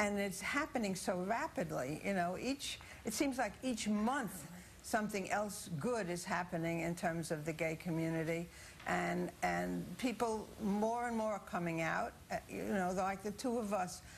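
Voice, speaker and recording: A woman speaks in a somewhat breathy voice at medium pitch. Her pace is fairly slow and her intonation lively. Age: 70s. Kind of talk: TV news interview.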